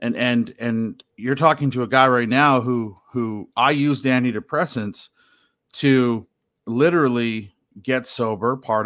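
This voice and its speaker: The speaker has a western Canadian accent and ordinary pitch variation. The recording is very clean, with a silent background. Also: man. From Canada, Alberta (Hinton). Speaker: podcaster, recovering addict, political commentator. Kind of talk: casual personal monologue. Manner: hesitant, many fillers and repetitions.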